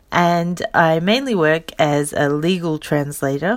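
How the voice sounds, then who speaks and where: In an Australian accent, a woman speaks at a very slow pace. Her very deep, low pitch shows ordinary variation. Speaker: podcast host and legal translator. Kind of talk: casual solo podcast introduction.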